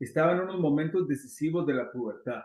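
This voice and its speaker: This man's fairly high voice has lively intonation and a moderate speed. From Guatemala. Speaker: immigration consultant. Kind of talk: interview.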